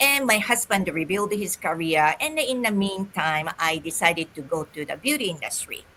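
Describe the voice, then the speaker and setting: Noticeable background noise sits behind a woman speaking at a fairly slow pace in a Japanese accent. Her medium-pitched voice has lively intonation. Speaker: holistic esthetician and business coach. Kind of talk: interview.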